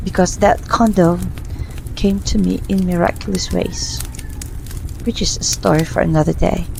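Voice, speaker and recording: A woman's whispering at a moderate pace, with long, frequent pauses and noticeable background noise. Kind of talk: personal faith testimony, ASMR. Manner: whispered.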